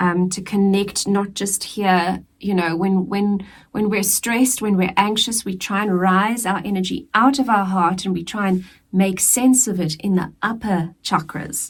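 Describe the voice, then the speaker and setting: A somewhat breathy woman's voice, medium in pitch, with fairly even intonation and a fairly slow pace. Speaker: tarot reader. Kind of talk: tarot reading. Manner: casual, conversational.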